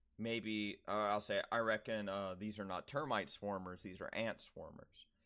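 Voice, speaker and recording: This man has a fairly low pitch. He talks with an American accent. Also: quiet background. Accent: Southern US, stronger with rural people. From US South. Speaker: streamer. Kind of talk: casual chat. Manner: animated.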